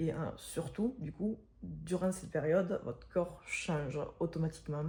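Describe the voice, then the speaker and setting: Soft-spoken and fairly low in pitch, a woman talks at a fairly slow pace. Her intonation stays fairly even. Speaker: pregnant fitness vlogger. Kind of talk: casual vlog. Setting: at home, apartment mid-move. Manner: halting with many fillers.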